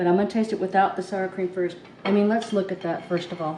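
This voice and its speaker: Monotone, flat intonation from a woman at medium pitch, with music in the background. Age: 60s. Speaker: home cooking vlogger. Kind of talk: casual cooking vlog with taste test.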